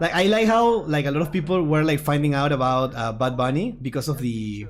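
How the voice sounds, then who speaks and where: A man with a strong Puerto Rican accent, lively intonation and a moderate pace. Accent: Puerto Rican accent, strong per self. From Puerto Rico. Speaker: gaming YouTuber, card game streamer. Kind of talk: casual livestream chat. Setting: livestream watchalong.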